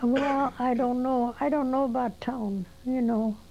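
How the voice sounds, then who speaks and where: A woman talks at a fairly slow pace in a dark, mellow tone. Her intonation stays fairly even. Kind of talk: interview answer.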